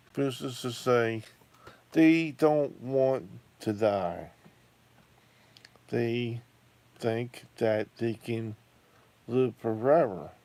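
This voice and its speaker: A man's medium-pitched voice with a dark, mellow tone and ordinary pitch variation, at a very slow pace with long, frequent pauses. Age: 60s. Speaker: YouTuber. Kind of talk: casual monologue. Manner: halting.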